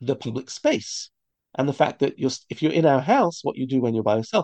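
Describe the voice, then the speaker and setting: A man with a British accent has a dark, mellow tone, recorded in a dry, close sound with no echo. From London, England. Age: 50s. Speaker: rabbi and teacher. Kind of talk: interview conversation. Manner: halting, repetitive.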